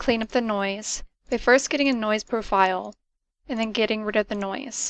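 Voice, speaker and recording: Soft-spoken, a woman talks at a fairly high pitch and moderate pace with fairly even intonation, in a dry, close sound with no echo and a quiet background. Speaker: student presenter. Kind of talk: presentation.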